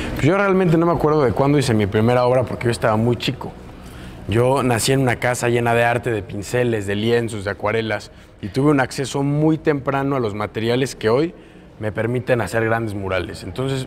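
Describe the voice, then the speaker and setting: A man with a medium pitch and ordinary pitch variation talks at a fairly quick pace, with noticeable background noise behind him. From Mexico, Puebla. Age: 20s. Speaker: muralist. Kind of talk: interview.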